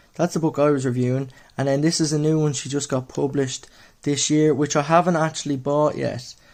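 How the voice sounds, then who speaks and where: A man speaks with an Irish accent at a fairly quick pace. His pitch is fairly high and his intonation monotone and flat. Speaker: newly qualified mental health nurse. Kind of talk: book review. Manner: casual, many fillers.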